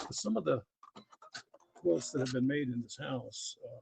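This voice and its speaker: A man speaks in a somewhat breathy voice. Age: 60s. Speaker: former prison worker sharing quilting hobby. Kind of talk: live stream tutorial chat. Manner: casual with many filler uhs.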